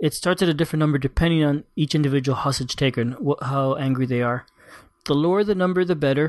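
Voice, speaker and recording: Speaking very fast against a quiet background, a man uses a fairly high pitch with ordinary variation and very even loudness. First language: Spanish. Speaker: board game podcast host. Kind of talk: casual chat.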